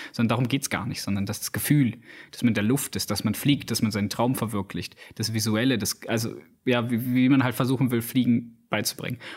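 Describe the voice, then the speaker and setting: A man's ordinary speaking voice at medium pitch, with fairly even intonation and a fairly quick pace. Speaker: podcast host, film reviewer. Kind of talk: casual chat.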